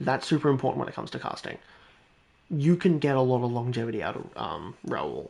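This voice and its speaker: Here a man talks at a very fast pace in a medium pitch. His tone is animated and his intonation lively. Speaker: gaming streamer. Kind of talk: live stream chat. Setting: at home, housemates asleep. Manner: quieter, lowered voice; animated, rambling.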